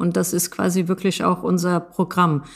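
A woman's fairly low voice, a normal speaking voice, with fairly even intonation in a very clean recording with a silent background. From Germany, Moroccan family. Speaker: project lead at a nonprofit. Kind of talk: interview.

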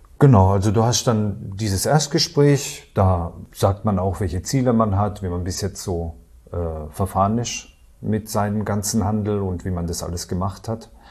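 A man with a dark, mellow tone speaks at a fairly low pitch, somewhat breathy. His pace is moderate and his pitch variation ordinary. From Baden, Karlsruhe area (southwest Germany). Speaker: self-employed retailer and trading client. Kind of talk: interview testimonial.

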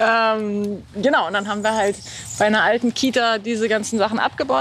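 A woman of medium pitch speaks at a fairly quick pace. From Hamburg, northern Germany. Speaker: singer-songwriter and saxophonist. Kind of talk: interview. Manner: hesitant, many fillers.

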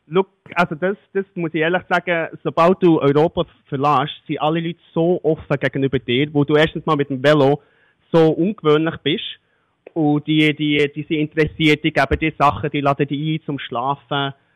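At a moderate pace, a man with a plain, everyday voice speaks in a fairly high pitch with fairly even intonation. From Switzerland. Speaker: long-distance cyclist, listener of the week. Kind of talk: casual interview. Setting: remote call.

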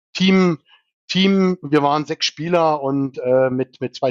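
His pitch moves in an ordinary way. The man talks at a fairly slow pace. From southern Germany. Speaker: cross-golf national team player. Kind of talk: casual interview. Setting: studio. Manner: animated.

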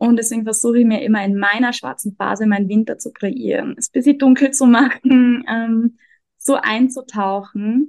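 With fairly even intonation and a fairly high pitch, a woman speaks at a moderate pace in an unremarkable speaking voice, the sound dry and close with no echo. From Austria. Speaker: energy worker and self-discovery coach. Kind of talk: interview.

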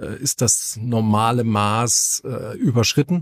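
The recording is dry and close, with no echo. A man speaks at a medium pitch, his pitch varying in an ordinary way. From northern Germany. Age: 40s. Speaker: gym owner and fitness trainer. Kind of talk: casual podcast chat. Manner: hesitant, many filler sounds.

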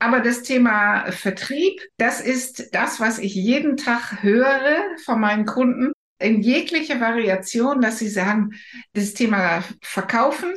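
With a non-native accent, a woman talks at a very slow pace. Her fairly high voice has lively intonation. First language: not German (speaking German). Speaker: podcast host and career coach. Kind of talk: interview. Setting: podcast studio.

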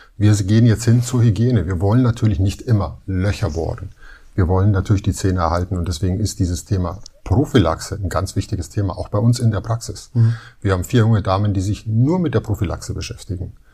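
The voice has a dark, mellow tone and sounds somewhat breathy. It moves at a very fast pace with ordinary pitch variation. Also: man, fairly low pitch for a man. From Munich, Bavaria. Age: 50s. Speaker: dentist. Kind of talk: interview, casual chat.

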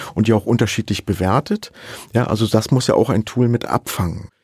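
A normal speaking voice from a man at medium pitch, dry and close with no echo, on a very clean recording with a silent background. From Saxony. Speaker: professor of digital forensics. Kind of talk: interview.

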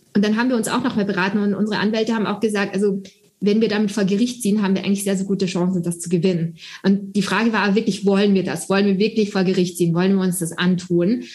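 A woman's somewhat breathy voice at a medium pitch, very fast, with fairly even intonation. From Austria. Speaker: startup founder and doctor. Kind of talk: interview. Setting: video call.

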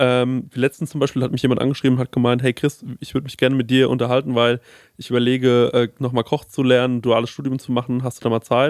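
A man talks at a very fast pace. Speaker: podcast host. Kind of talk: casual chat.

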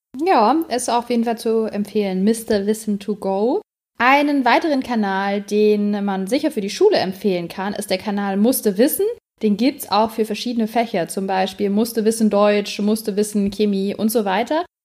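Over a very clean recording with a silent background, a woman talks at a moderate pace in a fairly high voice with ordinary pitch variation. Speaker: podcast co-host. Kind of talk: casual chat.

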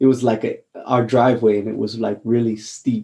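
A man's dark, mellow voice with a Hawaiian accent. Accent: American (Hawaii). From Hawaii, Honolulu. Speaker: actor, former marine. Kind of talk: interview.

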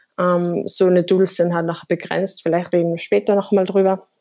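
Monotone, flat intonation from a woman pitched fairly low. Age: 20s. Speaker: marketing professional. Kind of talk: interview. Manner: hesitant, many fillers.

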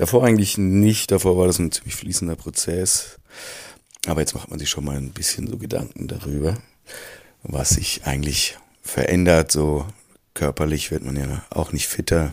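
Very deep and low, a man's voice shows ordinary pitch variation. He leaves long, frequent pauses. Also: moderate pace. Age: 40s. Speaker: creative director in advertising. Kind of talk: recorded interview statement.

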